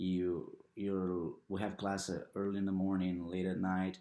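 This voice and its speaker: A man with a Brazilian Portuguese accent speaks at a moderate pace in a very deep, low pitch with a dark, mellow tone. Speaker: international student athlete. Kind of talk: interview testimony. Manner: halting.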